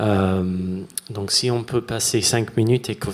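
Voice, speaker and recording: With a strong English accent, a man speaks at a fairly low pitch, with fairly even intonation and a fairly slow pace. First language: English (speaking French). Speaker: sound artist. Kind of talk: conference talk. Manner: halting.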